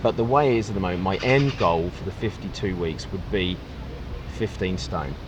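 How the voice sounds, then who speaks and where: A man with an Essex accent at a fairly quick pace, very wide pitch swings, and noticeable background noise. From England, Essex. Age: 30s. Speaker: railway worker, weight-loss vlogger. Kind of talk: casual interview chat.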